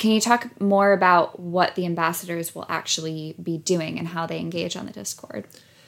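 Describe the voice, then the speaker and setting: This woman has an ordinary speaking voice with an American accent and ordinary pitch variation. She moves at a moderate pace with hardly any pauses. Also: fairly low pitch for a woman. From United States. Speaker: humanitarian aid worker and podcast co-host. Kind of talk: casual podcast chat. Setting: same room as co-host.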